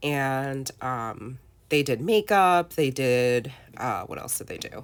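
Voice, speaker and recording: A woman with a husky, very deep, low voice speaks with ordinary pitch variation. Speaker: scrapbooking content creator. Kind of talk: crafting process voiceover. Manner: casual, chatty.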